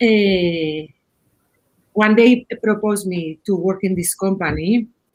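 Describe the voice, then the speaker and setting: A woman with a Spanish accent at a medium pitch, very slow in pace and with ordinary pitch variation. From Spain. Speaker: head of UI/UX design. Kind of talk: panel discussion. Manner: halting, repeats words.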